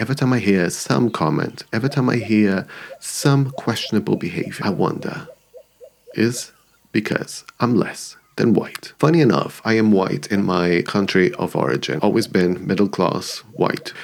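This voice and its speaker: A man with a non-native accent speaks at a moderate pace and fairly low pitch, his intonation lively and his loudness very even. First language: not English. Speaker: YouTuber, commentary creator. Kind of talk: personal video essay. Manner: reflective.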